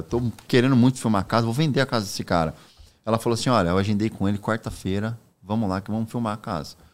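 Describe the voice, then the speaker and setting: Man's fairly low voice at a very fast pace, on a very clean recording with a silent background. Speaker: real estate broker. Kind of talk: casual chat.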